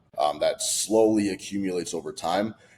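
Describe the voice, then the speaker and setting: A man speaks amid noticeable background noise. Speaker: fitness coach. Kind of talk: casual talking-head video. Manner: fast; animated.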